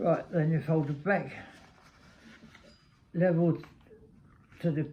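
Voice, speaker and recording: With a London accent, a man speaks fairly slowly at a fairly high pitch. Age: 80s+. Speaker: retired grandfather. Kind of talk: instructional talk to camera.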